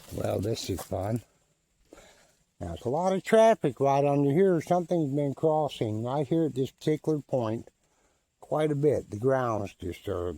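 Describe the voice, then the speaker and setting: Swinging very widely in pitch, a man speaks with a fairly high voice. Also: dry, close sound with no echo. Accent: rural Southern US. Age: 70s. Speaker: vlogger. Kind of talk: casual narration while walking. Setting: outdoors in forest. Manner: slow, unhurried.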